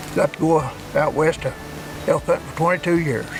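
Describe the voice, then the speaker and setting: Noticeable background noise sits behind a man speaking at a fairly high pitch. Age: 70s. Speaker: hunter. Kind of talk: casual chat. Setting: outdoors.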